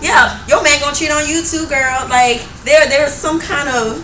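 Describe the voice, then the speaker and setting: A woman speaks at a fairly quick pace. Noticeable background noise and audible room echo surround her voice. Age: 20s. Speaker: singer hosting panel discussion. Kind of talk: panel discussion.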